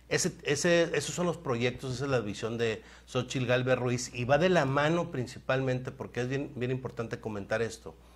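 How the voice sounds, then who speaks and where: A man speaks at a moderate pace with hardly any pauses. His medium pitch shows ordinary variation. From Ciudad Victoria, Tamaulipas, Mexico; Tamaulipas, Mexico. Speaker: political candidate; candidate. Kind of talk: interview. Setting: radio studio. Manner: halting, many fillers and repetitions. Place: studio. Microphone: lapel.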